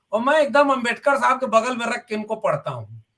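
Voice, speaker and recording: In a bright, sharp tone, a man with a Bihari accent talks at a moderate pace in an extremely high pitch with ordinary pitch variation. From Bhojpuri belt of north India. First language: Bhojpuri (speaking Hindi). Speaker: university professor. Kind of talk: TV panel debate.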